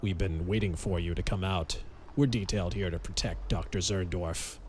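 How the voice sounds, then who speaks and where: A man speaks quietly at a moderate pace in a put-on character voice with a very deep, low pitch, with clear background noise behind him. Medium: read story. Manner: low, quiet.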